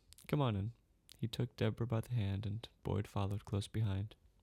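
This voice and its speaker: Delivered at a moderate pace, this somewhat breathy voice has a dark, mellow tone and fairly even intonation. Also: man. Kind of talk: ASMR bedtime story narration.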